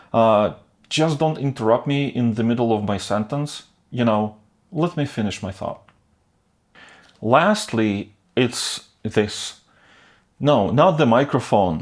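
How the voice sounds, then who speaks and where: A man with a Northern European accent, fairly slow and full of long, frequent pauses, lively in intonation, on a very clean recording with a silent background. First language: not English; English is third language. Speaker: video creator. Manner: stutters, slow to get sentences out.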